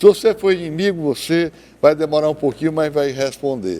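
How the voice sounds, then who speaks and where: Dark and mellow, this man's voice sits fairly high in pitch. His pitch variation is ordinary. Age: 70s. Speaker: TV debate panelist. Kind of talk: heated debate. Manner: animated.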